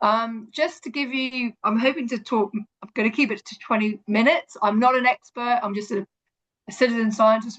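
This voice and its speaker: In an English accent, a woman talks at a moderate pace with fairly even intonation. Her fairly high pitch comes through in a dry, close sound with no echo. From Hong Kong, then England. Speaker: environmental educator. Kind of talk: online presentation. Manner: hesitant, many fillers.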